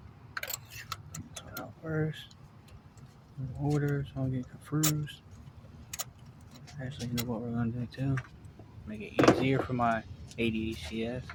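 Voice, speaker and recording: Mumbling at a fairly slow pace, the speaker leaves long, frequent pauses over noticeable background noise. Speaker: car mechanic DIY youtuber. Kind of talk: hands-on tutorial. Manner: casual, thinking aloud.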